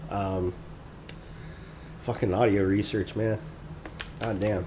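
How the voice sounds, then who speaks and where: A soft-spoken man talks at a very slow pace with fairly even intonation over noticeable background noise. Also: fairly low pitch for a man. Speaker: game developer streamer. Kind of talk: casual live coding stream. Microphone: too quiet, mic volume maxed.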